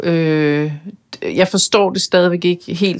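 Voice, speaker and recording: Her pitch in the middle of her range, a woman talks in a flat, monotone way. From Denmark, Bornholm. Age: 40s. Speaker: media executive and author. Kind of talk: interview conversation. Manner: hesitant, many fillers.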